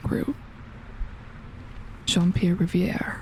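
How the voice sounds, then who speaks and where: Noticeable background noise sits behind a soft-spoken woman. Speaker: gaming youtuber. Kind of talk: let's play commentary. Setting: home recording at night.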